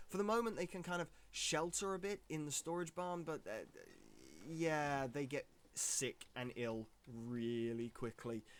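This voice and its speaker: With a British accent, a man speaks at a fairly slow pace with fairly high pitch and lively intonation, on a very clean recording with a silent background. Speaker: gaming streamer. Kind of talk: live gameplay commentary. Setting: live stream. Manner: animated.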